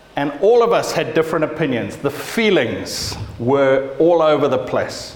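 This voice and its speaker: A man speaks at a moderate pace, animated and with very wide pitch swings. Noticeable background noise runs underneath. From Zimbabwe. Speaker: pastor. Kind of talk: sermon. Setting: church.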